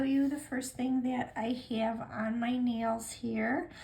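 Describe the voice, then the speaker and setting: Very slowly and in a flat monotone, a woman speaks at a high pitch, with audible room echo and noticeable background noise. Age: 60s. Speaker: nail polish vlogger. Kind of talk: casual chat. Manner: halting, many fillers.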